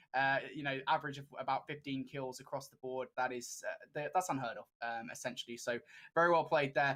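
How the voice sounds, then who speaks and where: In a British accent, a man speaks with a fairly high pitch and a bright, sharp tone. His pace is fairly quick, and his loudness swings widely. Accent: British, noted by himself. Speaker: esports caster. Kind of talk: live commentary. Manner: animated.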